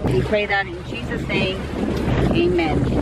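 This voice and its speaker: Against music in the background, a woman speaks at a fairly slow pace, the sound dry with no echo. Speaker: vlogger. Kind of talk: casual vlog chat. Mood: cheerful, hopeful. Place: boat. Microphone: phone near.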